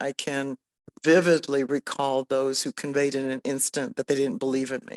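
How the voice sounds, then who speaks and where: A woman's very deep, low voice with an American accent, flat and monotone at a moderate pace, in a very clean, silent-background recording with a dry, close sound and no echo. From US (Indian American). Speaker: business leader. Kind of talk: panel discussion.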